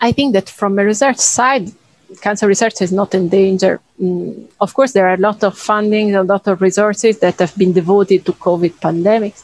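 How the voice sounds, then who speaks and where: Speaking with an Italian accent, a woman at medium pitch keeps a moderate pace, fairly even intonation and very even loudness in a dry, close sound with no echo. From Italy. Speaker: cancer researcher. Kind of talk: interview.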